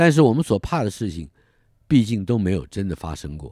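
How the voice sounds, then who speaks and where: The man's tone is dark and mellow. His pitch swings very widely. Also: very clean recording, silent background. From Taiwan, Taipei. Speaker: writer narrating memoir. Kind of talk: scripted narration.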